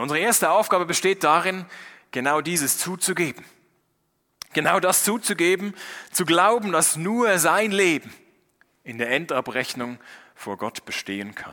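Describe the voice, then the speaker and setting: A man's high, bright, sharp voice broken by long, frequent pauses. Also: moderate pace. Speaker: preacher. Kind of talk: sermon in German, thematic Bible teaching delivered to a church congregation. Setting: church. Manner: earnest, explanatory, structured and clearly paced; warm pastoral tone; formal, teacherly, with points enumerated and scripture read aloud, ending in prayer.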